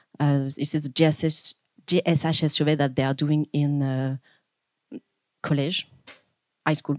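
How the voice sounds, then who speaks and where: A woman with a French accent speaks in a very deep, low, monotone voice at very even loudness, leaving long, frequent pauses. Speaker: PhD researcher. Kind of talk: conference presentation. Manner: fast; hesitant, many fillers.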